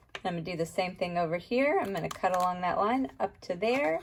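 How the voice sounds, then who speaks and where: A woman talks at a fairly quick pace, her pitch rising and falling very widely. Noticeable background noise sits behind her. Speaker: art teacher. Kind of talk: tutorial.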